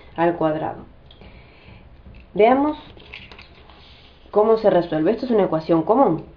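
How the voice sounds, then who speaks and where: Through noticeable background noise, a woman's intonation sounds lively. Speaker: math teacher. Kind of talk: tutorial. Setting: family home. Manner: fast.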